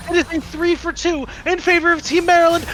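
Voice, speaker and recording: A man shouts loudly in an excited tone over noticeable background noise. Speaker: esports play-by-play caster. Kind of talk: live commentary. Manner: loud, yelling; fast, excited.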